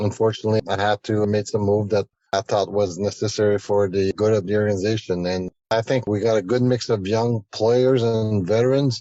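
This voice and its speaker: With a French Canadian accent, a man talks at a fairly quick pace with hardly any pauses, his fairly low, dark, mellow voice held at a very even loudness. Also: fairly even intonation. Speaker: hockey general manager. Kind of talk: radio interview.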